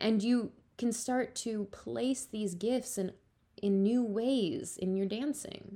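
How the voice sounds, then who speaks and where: A woman's fairly high voice, very slow, with ordinary pitch variation. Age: 30s. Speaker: podcast host and ballet teacher. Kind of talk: solo podcast monologue. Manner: casual, filler-heavy.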